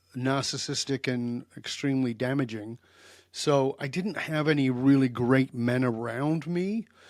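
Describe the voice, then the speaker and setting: A man talks in a plain, everyday voice at medium pitch with ordinary pitch variation, on a very clean recording with a silent background. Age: 60s. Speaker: leadership coach and therapist. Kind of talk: interview conversation.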